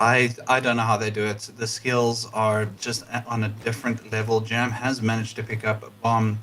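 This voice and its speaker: A bright, sharp tone at a moderate pace, with a non-native accent. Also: man. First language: not English. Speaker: esports caster. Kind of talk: live commentary.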